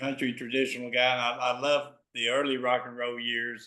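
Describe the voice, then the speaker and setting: At a moderate pace, a man speaks. He has a Southern US accent. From Memphis, Tennessee. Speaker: interviewer, concert promoter. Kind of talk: interview questions.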